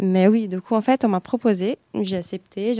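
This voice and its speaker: A woman speaks with a Brazilian accent and a dark, mellow tone. Her pitch varies in an ordinary way. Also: dry, close sound with no echo. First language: Portuguese (speaking French). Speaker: atmospheric scientist. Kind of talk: interview. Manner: hesitant, many fillers.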